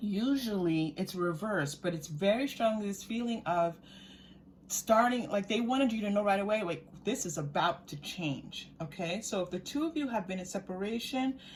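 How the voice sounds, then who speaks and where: The voice moves at a moderate pace, somewhat breathy, with lively intonation. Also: woman, medium pitch for a woman. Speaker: tarot card reader. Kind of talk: pick-a-card tarot reading. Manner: animated.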